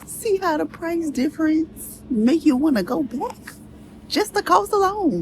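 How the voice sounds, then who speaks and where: Against noticeable background noise, a woman speaks fairly slowly at an extremely high pitch with very wide pitch swings. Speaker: travel vlogger. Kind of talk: casual vlog talk to camera. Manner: casual, conversational.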